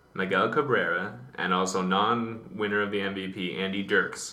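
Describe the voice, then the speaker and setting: A quiet male voice, fairly low in pitch. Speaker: baseball podcast co-host. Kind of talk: casual chat. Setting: library study room. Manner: hushed.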